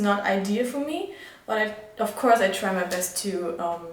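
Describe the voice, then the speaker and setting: Heard with audible room echo and noticeable background noise, the speaker has a German accent. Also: woman. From Germany. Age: 20s. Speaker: vlogger and midwife student. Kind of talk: casual vlog talk. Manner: halting, many fillers.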